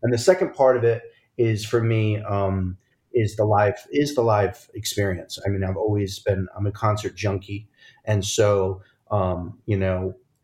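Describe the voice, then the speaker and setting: A man speaks at a fairly slow pace in a fairly low, somewhat breathy voice with fairly even intonation, recorded very cleanly against a silent background. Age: 40s. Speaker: podcast host and chef. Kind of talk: casual chat.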